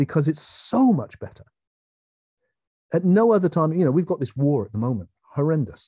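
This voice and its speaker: A man with an English accent speaks at a fairly quick pace, leaving long, frequent pauses. His fairly high pitch swings very widely, with a dark, mellow tone and a dry, close sound with no echo. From England. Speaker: philosopher and author. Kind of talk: online talk. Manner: animated.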